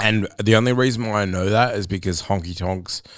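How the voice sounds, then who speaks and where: Recorded very cleanly against a silent background, a man speaks at a moderate pace. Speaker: podcast host. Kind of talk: casual interview.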